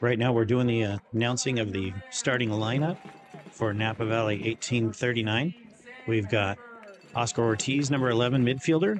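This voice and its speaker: A man is talking at a moderate pace. Noticeable background noise runs under his voice. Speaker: soccer livestream commentator. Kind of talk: live commentary. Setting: stadium livestream. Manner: halting, many fillers.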